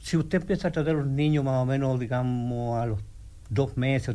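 This man talks fairly quickly, his medium-pitched voice dark and mellow in tone with ordinary pitch variation. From Chile, Santiago. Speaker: physical therapist. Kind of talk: radio interview. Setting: radio studio. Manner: halting, repeats words.

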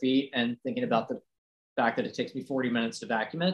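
With an American accent and a plain, everyday voice, a man with a fairly high pitch talks at a fairly quick pace. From US South, Roanoke, Virginia (Appalachia). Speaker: preservation blogger restoring a family farm. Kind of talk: casual interview. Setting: at home, in his restored house.

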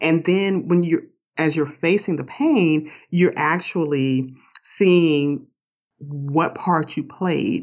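A woman's fairly low voice with an American accent, at a very slow pace. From US South. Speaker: author and life coach. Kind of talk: interview podcast. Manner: calm, grounding.

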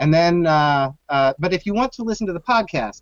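Dry and close with no echo, a man's high-pitched voice with an American accent moves through lively intonation. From US Southwest, Phoenix. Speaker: cocktail history podcaster. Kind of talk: casual chat. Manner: halting, repeats words.

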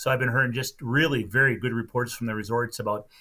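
A man with a Minnesota accent, medium in pitch, bright and sharp in tone with fairly even intonation, on a very clean recording with a silent background. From central Minnesota. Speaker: lake tourism representative and angler. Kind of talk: casual chat.

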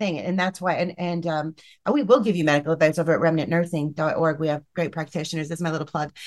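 A woman's fairly low voice at a very fast pace, fairly even in intonation, over a quiet background. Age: 40s. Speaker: nurse. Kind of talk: casual chat.

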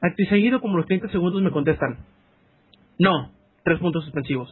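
Speaking with a Mexican accent, a man has a high pitch and ordinary pitch variation. His moderate pace is broken by long, frequent pauses. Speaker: podcast host. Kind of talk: casual chat.

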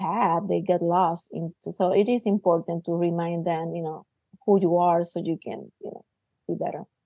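A woman is speaking. She has a Puerto Rican accent. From Puerto Rico. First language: Spanish. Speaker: theater artist and university teacher. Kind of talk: casual interview.

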